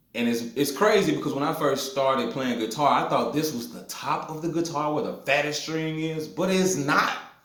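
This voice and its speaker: Through noticeable background noise, a man with a Mississippi accent and a fairly high pitch talks at a moderate pace with ordinary pitch variation and hardly any pauses. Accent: Mississippi Southern US. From US South, north Mississippi hill country. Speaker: blues guitarist. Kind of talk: guitar tutorial. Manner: casual with filler words.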